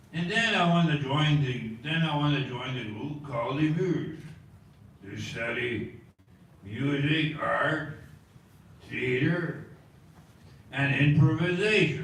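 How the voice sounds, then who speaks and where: Over noticeable background noise and audible room echo, a man at a fairly high pitch speaks at a very slow pace with long, frequent pauses and ordinary pitch variation. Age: 60s. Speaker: actor and artist. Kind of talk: artist talk.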